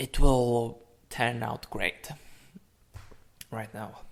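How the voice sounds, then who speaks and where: A man speaks with a Polish accent at a medium pitch. His pace is very slow. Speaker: fighting game player and commentator. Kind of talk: gameplay analysis commentary. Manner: halting.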